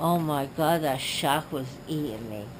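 Against noticeable background noise, a woman with a very deep, low voice speaks at a fairly slow pace with ordinary pitch variation. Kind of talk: casual drowsy chat. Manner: groggy, slurred post-anesthesia speech. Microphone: phone near.

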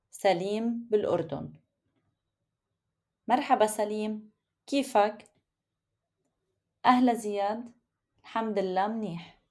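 Using a Lebanese accent, a woman speaks very slowly in a fairly high voice with ordinary pitch variation and long, frequent pauses. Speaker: Arabic teacher. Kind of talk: language lesson text reading. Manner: clear, slow.

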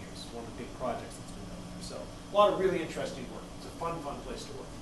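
With audible room echo and noticeable background noise, a man talks using ordinary pitch variation. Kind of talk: lecture. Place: classroom. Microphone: camera far.

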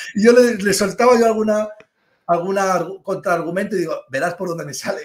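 A man with a high pitch speaks at a fairly quick pace with ordinary pitch variation. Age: 40s. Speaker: finance professor and private banker. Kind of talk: interview.

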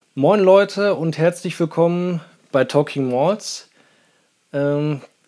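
A man with fairly even intonation against a quiet background. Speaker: whisky reviewer. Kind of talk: casual vlog chat. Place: home room. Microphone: lapel.

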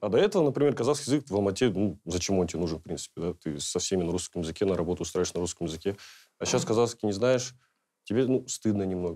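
Against a quiet background, the speaker talks very fast with lively intonation. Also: man, fairly low pitch for a man. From Kazakhstan. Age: 20s. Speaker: blogger and YouTuber; blogger, YouTuber. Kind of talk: panel discussion. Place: studio. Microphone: lapel.

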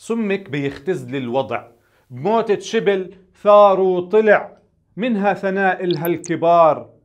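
Very slowly, a man with a Palestinian accent speaks at a high pitch. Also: ordinary pitch variation. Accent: Palestinian colloquial Arabic. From Palestine. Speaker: poet. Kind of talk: spoken-word poetry performance. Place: studio. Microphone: lapel.

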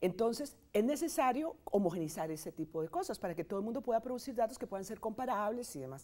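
A woman with a fairly high pitch and a dark, mellow tone races along at a very fast pace, with very wide pitch swings and hardly any pauses. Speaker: statistics professor. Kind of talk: interview.

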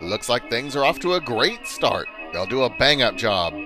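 Over music in the background, a man talks at a moderate pace in an upbeat, playful tone. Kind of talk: old-style newsreel narration.

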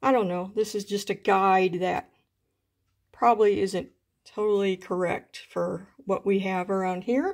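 A woman at a fairly slow pace, with fairly even intonation and a quiet background. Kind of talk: casual vlog chat. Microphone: phone near.

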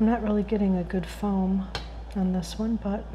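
A soft-spoken woman talks. Noticeable background noise sits behind her. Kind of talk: ASMR cooking tutorial.

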